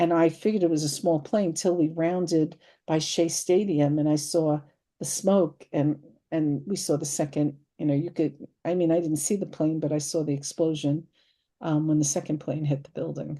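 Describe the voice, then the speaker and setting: With an American accent, a woman with a very deep, low pitch and a dark, mellow tone speaks at a moderate pace with fairly even intonation against a quiet background. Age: 70s. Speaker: psychic medium guest. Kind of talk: interview. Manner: halting.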